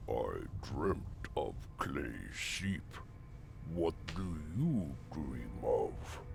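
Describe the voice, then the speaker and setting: A put-on character voice at a very slow pace, with long, frequent pauses, over loud background noise. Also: man. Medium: video game. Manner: slow, simple, solemn.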